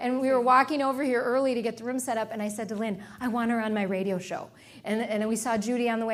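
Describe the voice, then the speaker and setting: A woman speaks at a fairly high pitch in an animated tone. Audible room echo is present. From Sri Lanka. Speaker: motivational speaker. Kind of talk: talk with audience Q&A. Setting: stage with audience.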